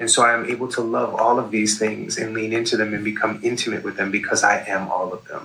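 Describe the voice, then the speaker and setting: A man with an American accent at medium pitch, talking at a very fast pace with hardly any pauses and monotone, flat intonation over noticeable background noise. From New York. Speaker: nurse and psychedelic educator. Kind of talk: interview.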